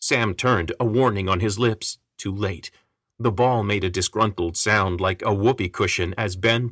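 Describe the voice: Quiet surroundings, ordinary pitch movement, and plain reading aloud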